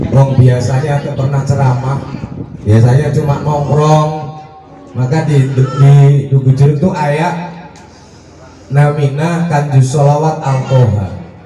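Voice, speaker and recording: A man speaks very slowly, with long, frequent pauses and fairly even intonation at a fairly high pitch. Room echo is audible, and background noise is noticeable. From Central Java (Demak, near Semarang). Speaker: religious speaker (ustadz). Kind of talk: sermon.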